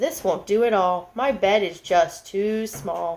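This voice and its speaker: The speaker uses a put-on character voice at a middle pitch, moving at a fairly slow pace. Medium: read story. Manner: warm, gentle.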